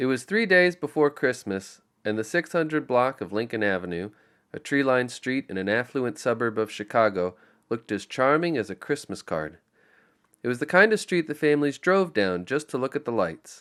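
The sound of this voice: Doing a put-on character voice, a man talks at a fairly quick pace in a nasal, medium-pitched tone with very wide pitch swings.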